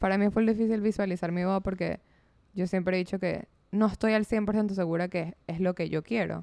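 A woman speaks at a moderate pace in a medium pitch, her dark, mellow tone held to a monotone, flat intonation. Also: very clean recording, silent background. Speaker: podcast co-host. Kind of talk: casual chat.

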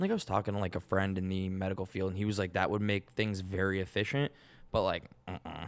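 Very deep and low in pitch, a man with an American accent speaks at a very fast pace in a monotone, flat intonation, on a very clean recording with a silent background. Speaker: podcast co-host. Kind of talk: casual banter, profane.

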